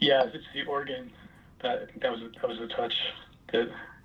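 Noticeable background noise fills the clip. Over it, a man talks at a fairly quick pace. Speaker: singer-songwriter musician. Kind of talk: casual interview. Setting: phone call.

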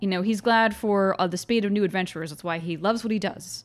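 In an unforced reading voice, the pitch moves up and down by an ordinary amount.

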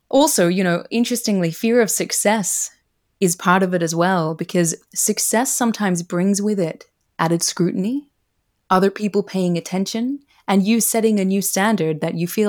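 This woman has an ordinary speaking voice at a medium pitch with ordinary pitch variation. She talks at a fairly quick pace in a very clean recording with a silent background. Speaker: career coach and author. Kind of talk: casual interview chat.

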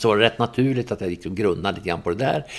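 A man's fairly low-pitched voice with lively intonation. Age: 60s. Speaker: political scientist and newspaper editor. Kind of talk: interview.

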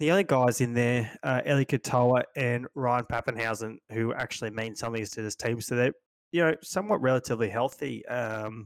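A man with an Australian accent talks at a fairly quick pace and medium pitch with ordinary pitch variation, in a dry, close sound with no echo. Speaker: stats analyst co-host. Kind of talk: casual podcast chat about fantasy league.

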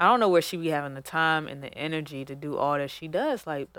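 Very deep, low pitch from a woman, captured as a very clean recording against a silent background. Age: 30s. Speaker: podcast co-host. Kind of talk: casual chat. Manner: animated.

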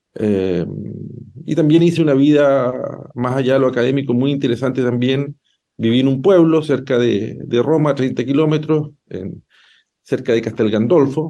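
A man talks at a moderate pace in a medium pitch, his tone dark and mellow, his pitch varying in an ordinary way. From southern Chile, Llanquihue province. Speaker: law professor and lawyer. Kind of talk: radio interview. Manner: halting, many repetitions and fillers.

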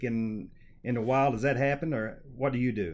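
He talks at a medium speed and a medium pitch, in an unremarkable speaking voice. His intonation stays fairly even. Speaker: podcast host. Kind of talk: interview conversation.

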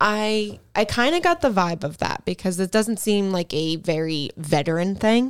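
A woman with a plain, everyday voice at a medium pitch, moderate pace and lively intonation, with hardly any pauses, in a very clean recording with a silent background. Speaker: podcast co-host. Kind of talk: casual chat.

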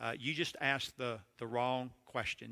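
On a very clean recording with a silent background and a dry, close sound with no echo, a man with a medium pitch and a bright, sharp tone talks at a moderate pace. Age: 60s. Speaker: seminary president and preacher. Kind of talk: sermon.

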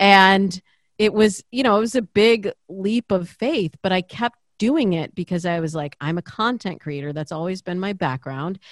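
A woman has an ordinary speaking voice at a medium pitch, with lively intonation and a moderate pace. The recording is very clean, with a silent background. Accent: American. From US Midwest, Michigan (Lansing suburb). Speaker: dating coach and podcaster. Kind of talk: interview conversation.

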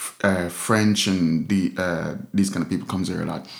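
Audible room echo carries a man's very deep, low voice as he speaks at a moderate pace. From Jamaica. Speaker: street artist and musician. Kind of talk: casual chat.

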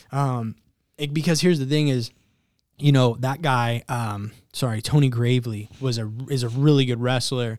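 With an American accent, a man talks at a moderate pace in an ordinary speaking voice, medium in pitch with fairly even intonation, on a very clean recording with a silent background. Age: 30s. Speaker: MMA podcast host. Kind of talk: casual chat.

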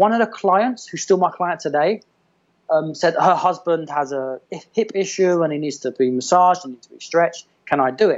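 Speaking with an English accent, a man uses a high pitch and lively intonation. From England. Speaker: massage therapist and movement coach. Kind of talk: casual chat.

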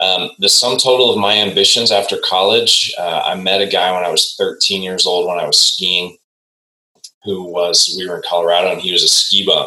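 A man with a Midwestern American accent at a moderate pace. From US Midwest, Indianapolis. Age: 40s. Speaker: executive coach. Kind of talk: casual chat.

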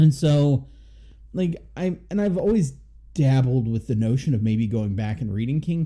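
Somewhat breathy and dark, mellow in tone, the voice moves at a moderate pace with lively intonation. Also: man, medium pitch for a man. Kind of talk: casual chat, movie review podcast.

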